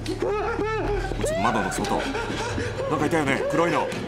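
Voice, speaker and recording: A man talking at a fairly quick pace over loud background noise. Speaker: voice actor. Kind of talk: casual commentary over scary video. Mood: scared, uneasy. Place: home room. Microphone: old recording.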